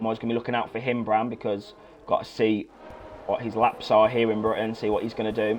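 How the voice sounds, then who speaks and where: A man holds a medium pitch and talks at a fairly quick speed. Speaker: sim racing commentator. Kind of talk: live commentary. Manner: fast; animated.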